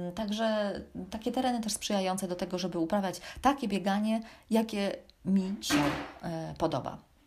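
A woman's medium-pitched, somewhat breathy voice at a moderate pace, with ordinary pitch variation. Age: 40s. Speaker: running podcaster and blogger. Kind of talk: solo personal storytelling podcast.

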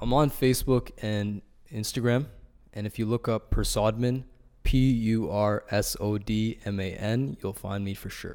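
A man with a normal speaking voice talks at a fairly slow pace, medium pitch and fairly even intonation. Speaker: engineering intern. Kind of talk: casual interview.

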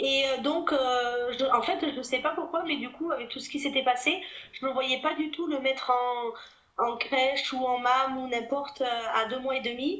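A high-pitched woman at a moderate pace, with ordinary pitch variation and audible room echo. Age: 30s. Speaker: private detective and mother. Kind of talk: testimony.

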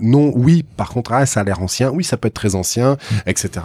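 A man with a dark, mellow tone talks at a moderate pace, with ordinary variation in his pitch. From Bordeaux, France. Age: 40s. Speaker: auctioneer. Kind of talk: interview. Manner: halting, many repetitions.

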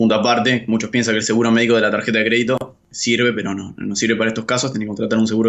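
A man's medium-pitched voice with an Argentine accent. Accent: Argentine Spanish (Rioplatense). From Argentina. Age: 30s. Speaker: journalist living abroad on working holiday visa. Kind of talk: interview. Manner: halting, frequent word repetitions.

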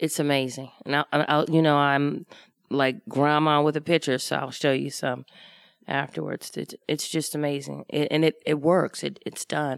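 Flat, monotone intonation in an American accent at a moderate pace, with a dry, close sound, no echo, and a very clean recording with a silent background. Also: woman, very deep, low pitch for a woman. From US, Washington, D.C. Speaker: improv comedian. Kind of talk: live podcast interview. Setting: stage with live audience.

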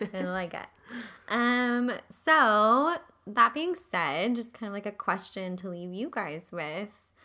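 A woman at a medium pitch talks at a very slow pace, with a bright, sharp tone, very wide pitch swings and big swings in loudness, on a very clean recording with a silent background. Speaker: podcast co-host, mental health professional. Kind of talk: casual chat.

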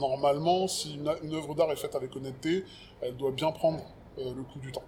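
A man talks at a moderate pace with fairly even intonation and a fairly high pitch. Noticeable background noise runs behind him. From France, Paris banlieue (early childhood in Cameroon). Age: 40s. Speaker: rapper and writer. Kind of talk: casual interview conversation. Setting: outdoors.

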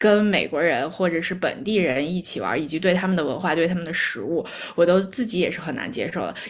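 Talking at a fairly quick pace, a woman has a fairly low pitch and ordinary pitch variation, with audible room echo and noticeable background noise. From Beijing, China. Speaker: actuary, immigrant. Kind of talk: casual chat.

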